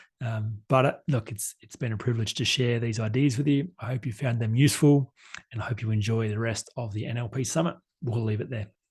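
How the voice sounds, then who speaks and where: Somewhat breathy male speech at medium pitch, fairly quick, with ordinary pitch variation. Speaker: life coach. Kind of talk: conference talk. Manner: fast.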